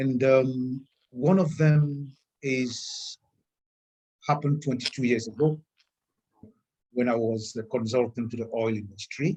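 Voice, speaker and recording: Speaking at a fairly slow pace with long, frequent pauses, a man uses a somewhat breathy, medium-pitched voice. His pitch varies in an ordinary way. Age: 60s. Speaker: wellness consultant. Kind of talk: testimony.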